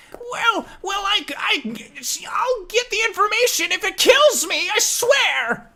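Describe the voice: Hardly pausing at a fairly slow pace, the speaker uses a put-on character voice that is shrill and extremely high-pitched.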